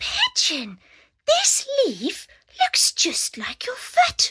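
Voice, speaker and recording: In a put-on character voice, a woman whispers in a squeaky tone at a very slow pace, the sound dry and close with no echo. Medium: read story. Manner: eager, wondering.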